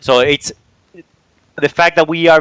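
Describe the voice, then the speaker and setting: This man speaks at a moderate pace with a bright, sharp tone. The sound is dry and close, with no echo. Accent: Spanish. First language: Spanish. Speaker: esports player. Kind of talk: interview.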